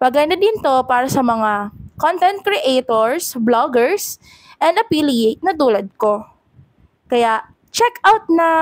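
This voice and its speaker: A woman speaks at a very slow pace. Her high voice swings very widely in pitch. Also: very even loudness. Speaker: content creator and affiliate reviewer. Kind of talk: product review. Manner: animated.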